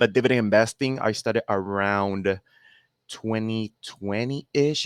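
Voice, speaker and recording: A man talks with a Spanish accent and ordinary pitch variation. The sound is dry and close with no echo, on a very clean recording with a silent background. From Puerto Rico. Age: 30s. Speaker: dividend investor and content creator. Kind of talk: podcast interview. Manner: well spoken.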